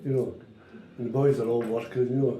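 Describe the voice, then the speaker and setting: With audible room echo and noticeable background noise, a man speaks very fast with a Glaswegian accent. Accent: Glaswegian Scottish. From Scotland, Glasgow. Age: 70s. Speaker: retired walking football player. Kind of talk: casual chat. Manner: halting.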